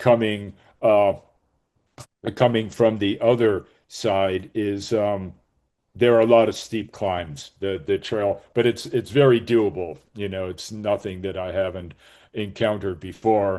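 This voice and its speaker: Against a quiet background, a dark, mellow voice moves at a fairly slow pace with fairly even intonation. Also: man, fairly low pitch for a man. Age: 60s. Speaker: hiker. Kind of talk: webinar talk. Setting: video call. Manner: halting.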